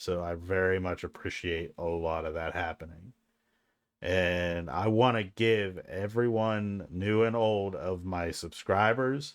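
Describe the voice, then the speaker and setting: Against a quiet background, the words come at a fairly slow pace. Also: man, very deep, low pitch for a man, ordinary pitch variation. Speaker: streamer. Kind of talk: casual talk to camera. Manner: halting. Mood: grateful, warm.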